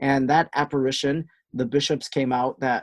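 Over a quiet background, a man with a slight Wisconsin accent talks at a fairly quick pace in a fairly high pitch. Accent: Wisconsin Midwestern, slight. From Wisconsin, US. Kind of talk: casual interview, storytelling.

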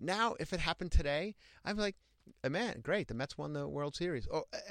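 Speaking with a strong Long Island accent, a man uses a high pitch and a bright, sharp tone at a fairly quick pace, his pitch swinging very widely in a very clean recording with a silent background. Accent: Long Island accent, thick. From Long Island, New York (Ronkonkoma). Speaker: stand-up comedian. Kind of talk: casual chat. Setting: studio.

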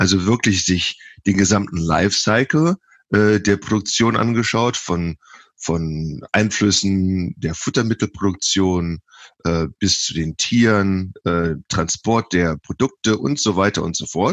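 Speaking at a very slow pace, a man with a fairly low pitch is heard in a dry, close sound with no echo. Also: ordinary pitch variation. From western Germany, Lower Rhine (Viersen). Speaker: professor of animal science. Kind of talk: interview. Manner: halting, many fillers.

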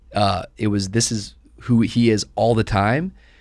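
An unremarkable speaking voice from a man, fairly low-pitched with fairly even intonation, in a very clean recording with a silent background. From US Pacific Northwest (Tacoma, Washington), teens in Miami. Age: 30s. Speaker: pastor. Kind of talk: casual interview. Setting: studio, sitting around a table.

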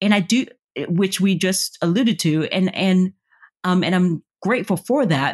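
Speaking at a moderate pace with an American accent, a woman has a somewhat breathy voice in a medium pitch. The background is quiet. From US South. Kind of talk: interview.

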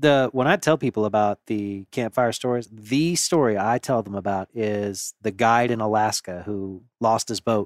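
A man with a normal speaking voice and an American accent speaks at a moderate pace, fairly low in pitch, with ordinary pitch variation and hardly any pauses, in a very clean, dry, close recording with no echo and a silent background. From Gulf Coast of Florida. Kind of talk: casual chat.

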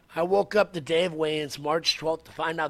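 A man talks at a fairly quick pace with a fairly high pitch. He has a normal speaking voice, with ordinary pitch variation. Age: 30s. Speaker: pro wrestler and former MMA fighter. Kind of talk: casual interview. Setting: studio.

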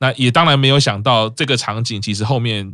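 This man has a normal speaking voice, fairly low in pitch, talking at a fairly quick pace with ordinary pitch variation. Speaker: podcast host. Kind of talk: casual chat.

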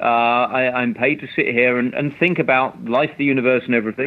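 Speaking in a British accent, a man holds a medium pitch and shows ordinary pitch variation. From UK. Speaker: investment strategist. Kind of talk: interview chat about markets. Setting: remote interview, sheltering in place. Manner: hesitant, repeats words.

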